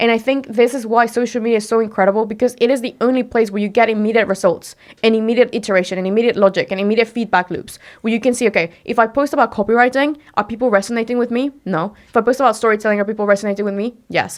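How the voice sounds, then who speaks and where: A woman with a Spanish accent speaks at a very fast pace in a fairly high pitch with an animated tone. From Mexico. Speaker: entrepreneur and personal branding expert. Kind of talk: podcast interview.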